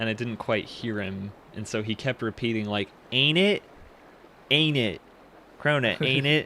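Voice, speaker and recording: At a moderate pace with long, frequent pauses, a man with an American accent speaks at a medium pitch with ordinary pitch variation. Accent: American accent, others mock it. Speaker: gaming podcast co-host. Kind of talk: casual chat.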